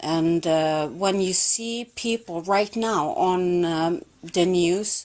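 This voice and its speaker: In a fairly low voice with a Swedish accent, a woman speaks at a very slow pace with ordinary pitch variation. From Sweden. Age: 40s. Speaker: caller on a live stream. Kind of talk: debate.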